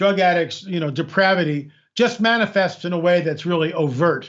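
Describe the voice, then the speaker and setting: A high-pitched man at a moderate pace, with ordinary pitch variation. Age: 60s. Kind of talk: interview. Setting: remote call from America. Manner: repetitive, halting restarts.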